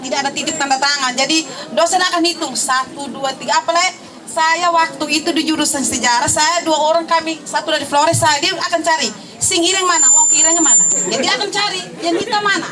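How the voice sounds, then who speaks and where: Over noticeable background noise, a woman uses a raised, projected voice at an extremely high pitch with ordinary pitch variation. She talks at a very fast pace, her loudness very even. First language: Tetum (speaking Indonesian). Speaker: alumna, teacher. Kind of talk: testimony.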